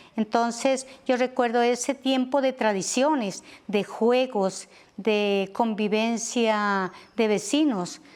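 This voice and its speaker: A woman speaks at a fairly high pitch with ordinary pitch variation. The recording is very clean, with a silent background. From Colombia, Nariño (Linares). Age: 60s. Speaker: teacher. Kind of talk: interview. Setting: outdoors, garden patio.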